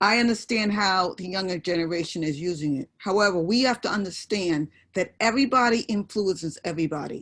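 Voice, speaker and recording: In a New York accent, a woman at a medium pitch talks at a fairly quick pace with ordinary pitch variation and hardly any pauses. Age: 60s. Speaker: audience member. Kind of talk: panel discussion.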